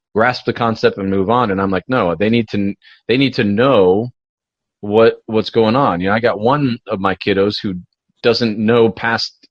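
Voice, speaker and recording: His intonation is fairly even. The man keeps to a moderate pace. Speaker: podcast co-host and homeschooling parent. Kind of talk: casual chat. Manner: halting. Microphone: echo and feedback.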